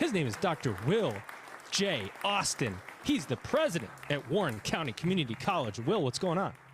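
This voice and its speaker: Against crowd noise in the background, a man with an American accent speaks at a moderate pace and fairly high pitch, his pitch swinging very widely while his loudness stays very even. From New York. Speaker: podcast host. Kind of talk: podcast interview.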